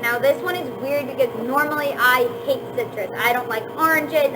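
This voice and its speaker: Noticeable background noise and audible room echo fill the recording. Through them, a woman talks at a moderate pace. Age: 20s. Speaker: vlogger. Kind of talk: casual chat. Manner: casual, filler-heavy.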